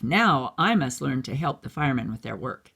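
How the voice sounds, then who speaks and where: Using a put-on character voice, a man talks at a moderate pace in a raspy, medium-pitched tone. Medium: read story. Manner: earnest, self-encouraging.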